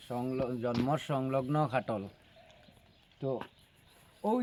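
A man speaks with a dark, mellow tone. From Barak Valley, Assam, India. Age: 30s. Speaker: vlogger. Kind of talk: casual vlog talk to viewers.

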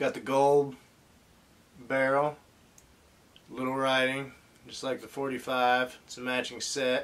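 The man's intonation is monotone and flat. He speaks at a very slow pace. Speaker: collector reviewing an action figure. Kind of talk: casual toy review. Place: home room.

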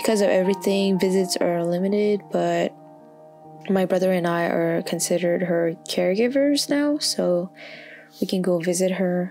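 Over background music, a woman of medium pitch speaks at a moderate pace, with ordinary pitch variation and very even loudness. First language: not English. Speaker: intern. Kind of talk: personal journal reading. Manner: hesitant, soft-spoken.

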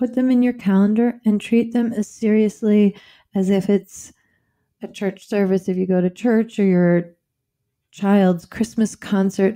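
A woman speaks at a medium pitch. Her intonation is flat and monotone. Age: 50s. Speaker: relationship and intimacy expert, former physician. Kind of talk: podcast interview.

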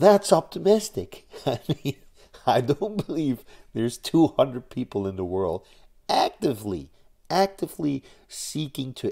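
Against a quiet background, a man speaks fairly slowly in a dark, mellow tone. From Netherlands. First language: Dutch. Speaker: YouTuber on nuclear energy advocacy. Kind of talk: vlog monologue. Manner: halting, many fillers. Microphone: webcam.

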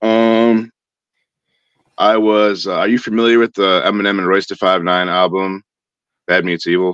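Over music in the background, a man with an American accent speaks at a moderate pace and fairly low pitch, with fairly even intonation, long, frequent pauses and a dry sound with no echo. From Cleveland, Ohio. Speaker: underground rapper. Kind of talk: casual interview. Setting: live stream. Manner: stuttering. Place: home room. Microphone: video call.

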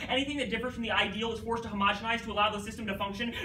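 A man speaks very fast in an extremely high, raised, projected voice with monotone, flat intonation, against light background noise and audible room echo. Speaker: high school debater. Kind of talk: competitive debate speech. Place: classroom. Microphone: camera far.

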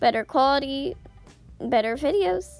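A woman with a squeaky voice speaks at a fairly slow pace, her pitch swinging very widely. Music plays in the background. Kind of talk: casual video game update narration.

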